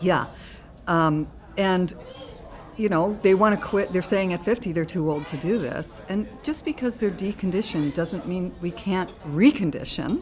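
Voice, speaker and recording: Noticeable background noise sits behind the speaker. She is a woman with lively intonation at medium pitch, talking at a moderate pace. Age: 60s. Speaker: fitness studio owner. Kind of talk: casual chat.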